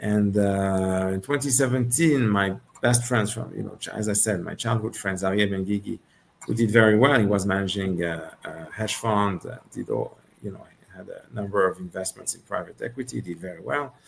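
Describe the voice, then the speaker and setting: With a French accent, the speaker moves at a moderate pace through big swings in loudness over noticeable background noise. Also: man, fairly low pitch for a man, ordinary pitch variation. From Switzerland, Geneva. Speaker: venture capital investor. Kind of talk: interview.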